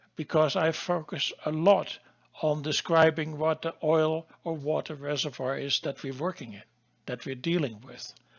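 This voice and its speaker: A man with a Dutch accent speaks at a moderate pace and a fairly high pitch. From Netherlands. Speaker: geologist and course instructor. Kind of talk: lecture. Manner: halting.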